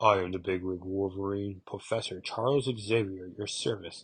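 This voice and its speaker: This man puts on a character voice pitched fairly low. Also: moderate pace. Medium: read story. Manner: formal, measured.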